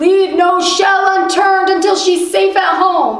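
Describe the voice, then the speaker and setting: A woman speaks in a put-on character voice with an extremely high pitch. Her pace is fairly slow, her intonation fairly even, and there is a slight echo. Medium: read story. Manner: stern, commanding.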